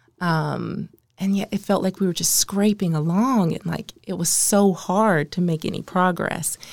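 On a very clean recording with a silent background, a woman with an American accent speaks fairly slowly at medium pitch. It is an unremarkable speaking voice with fairly even intonation. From Maryland, US. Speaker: nonprofit consultant and social entrepreneur. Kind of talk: podcast interview.

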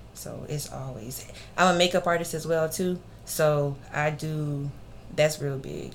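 Speaking in a Southern US accent, a woman with a very deep, low pitch keeps her intonation fairly even while her loudness swings widely. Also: fairly slow pace. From Alabama (Grove Hill, Clarke County), military brat. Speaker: personal chef and makeup artist. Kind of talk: casual interview chat.

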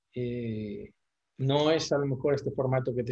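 A man with a dark, mellow tone and medium pitch talks at a moderate pace, his somewhat breathy voice keeping a fairly even intonation. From Spain. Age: 40s. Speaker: football social media commentator. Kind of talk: casual interview chat.

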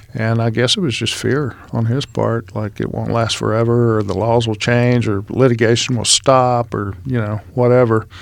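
A man with an ordinary speaking voice talks at a moderate pace and medium pitch, with hardly any pauses and fairly even intonation. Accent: American. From Texas, Houston. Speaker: business broker. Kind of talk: interview.

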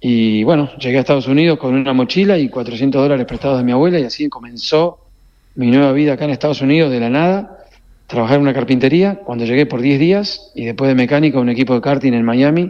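A man speaks very fast at a medium pitch. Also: ordinary pitch variation. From Argentina, Corrientes. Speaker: racing team owner. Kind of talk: radio interview. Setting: phone call.

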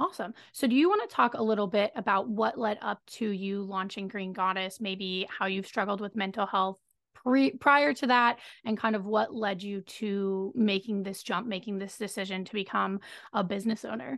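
A woman with an unremarkable speaking voice and medium pitch speaks at a moderate pace. Her pitch variation is ordinary, and the background is quiet. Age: 20s. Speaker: podcast host. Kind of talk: interview conversation.

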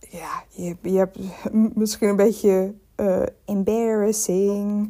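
A woman speaks at a medium pitch with a dark, mellow tone and flat, monotone intonation. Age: 20s. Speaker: podcaster and art history student. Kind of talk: casual solo chat. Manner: hesitant, many filler sounds.

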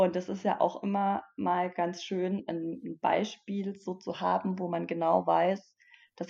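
A woman's dark, mellow tone with vocal fry and monotone, flat intonation. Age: 30s. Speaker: online business mentor. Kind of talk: interview.

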